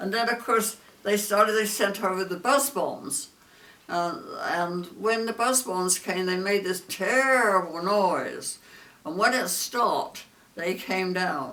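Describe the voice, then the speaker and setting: Over noticeable background noise, a woman talks at a very slow pace in a medium pitch with lively intonation. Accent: English. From southern England. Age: 80s+. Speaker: war veteran. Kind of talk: interview answer.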